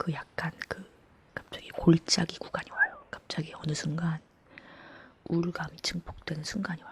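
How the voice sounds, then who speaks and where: A calm whisper moves at a fairly slow pace. Noticeable background noise sits behind it. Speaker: ASMR creator. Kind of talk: whispered talking ASMR chat. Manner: whispered; soft-spoken, calm.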